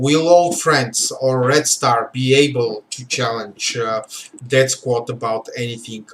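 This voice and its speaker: Amid noticeable background noise, a man at medium pitch speaks at a very slow pace with a Bulgarian accent. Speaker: game livestream host. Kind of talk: livestream commentary. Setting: live stream. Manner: halting, many fillers.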